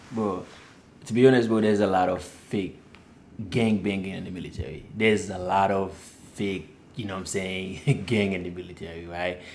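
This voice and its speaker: In a Haitian accent, a man with a very deep, low voice talks at a moderate pace with fairly even intonation, big swings in loudness, long and frequent pauses, and audible room echo. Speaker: Navy sailor, podcast guest. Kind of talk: casual chat.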